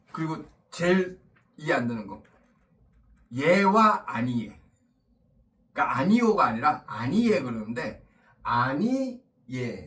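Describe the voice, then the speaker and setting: A man's fairly high voice, very slow with long, frequent pauses, very wide pitch swings and big swings in loudness, in audible room echo. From Busan, South Korea (moved from Seoul at age 8). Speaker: teacher. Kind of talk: lecture. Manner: casual, conversational.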